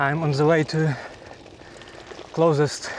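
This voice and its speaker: Noticeable background noise accompanies a man speaking at a very slow pace. His pitch is fairly high and his intonation fairly even. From Ukraine. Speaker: cycling vlogger. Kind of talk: casual vlog monologue. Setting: outdoors on a bike. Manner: halting.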